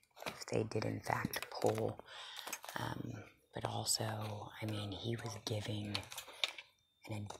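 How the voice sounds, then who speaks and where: Someone speaks at a very slow pace over loud background noise. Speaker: deal shopper vlogger. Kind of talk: casual vlog chat. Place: shop. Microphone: phone near.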